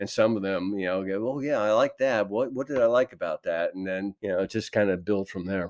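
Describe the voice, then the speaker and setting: With an ordinary speaking voice, a man talks at a fairly quick pace with hardly any pauses, his pitch fairly low with ordinary variation, in a very clean recording with a silent background and a dry, close sound with no echo. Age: 60s. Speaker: toy designer. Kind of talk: interview.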